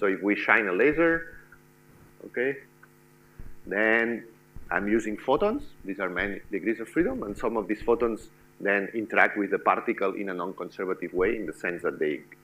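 With a bright, sharp tone and a fairly low pitch, a man speaks with long, frequent pauses. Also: ordinary pitch variation, moderate pace. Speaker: lecturer. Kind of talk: lecture. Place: classroom.

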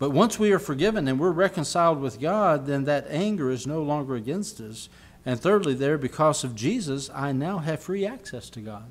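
A man talks at a moderate pace with hardly any pauses, his pitch fairly high and his intonation lively. His loudness swings widely from moment to moment. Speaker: pastor. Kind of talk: sermon preaching to congregation. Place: church. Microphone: podium.

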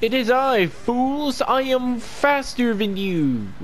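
A put-on character voice speaks at a very slow pace with fairly high pitch. Background noise is clearly audible. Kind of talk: theatrical, mock-villain. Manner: gloating, taunting.

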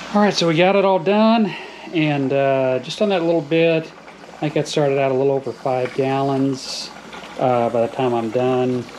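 With light background noise behind him, a man with an American accent speaks at a moderate pace, his fairly high pitch set in lively intonation and his loudness very even. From US South. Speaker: hobby farmer and channel host. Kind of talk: casual tutorial. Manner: hesitant, many filler words. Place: kitchen.

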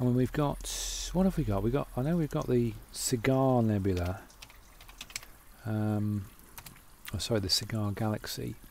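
A man mumbles at a moderate pace with lively intonation and a fairly low pitch, leaving long, frequent pauses. Light background noise runs under a dry sound with no echo. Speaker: amateur astronomer. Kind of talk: casual talk to camera. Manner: mumbling, hesitant. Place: home room. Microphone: phone near.

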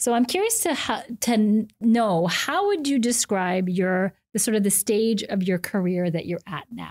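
Lively intonation at a fairly slow pace, with hardly any pauses and a quiet background. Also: woman. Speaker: podcast host. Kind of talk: interview. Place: studio. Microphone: studio mic.

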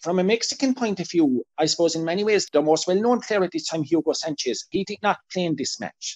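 A man speaks with an Irish accent at a fairly quick pace, his high voice making very wide pitch swings. The background is quiet. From Ireland. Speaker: football historian; podcast guest or co-host. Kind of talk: interview. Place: home room. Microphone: video call.

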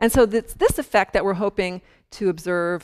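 A woman talks at a moderate pace with ordinary pitch variation. Behind her, the background stays quiet. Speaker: astrophysicist giving public lecture. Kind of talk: lecture. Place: hall. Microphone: lapel.

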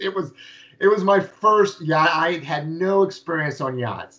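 With ordinary pitch variation, a man keeps to a moderate pace. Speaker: guest. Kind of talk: interview answer. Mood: enthusiastic, laughing storytelling. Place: office. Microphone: video call.

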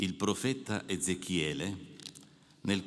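Lively intonation marks this man's fairly low-pitched voice. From Alpine mountain region. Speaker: priest giving a retreat meditation. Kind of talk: spiritual meditation address. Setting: audience of clergy and the Pope. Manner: formal. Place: hall. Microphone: podium.

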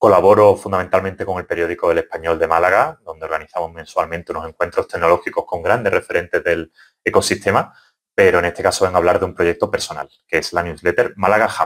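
Very fast talking from a man, quiet background behind him. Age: 20s. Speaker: journalist. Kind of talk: project pitch. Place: home room. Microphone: webcam.

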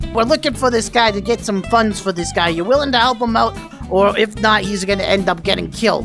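A put-on character voice that sounds female, pitched fairly high and moving at a fairly quick pace, with clear music playing in the background. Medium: role play.

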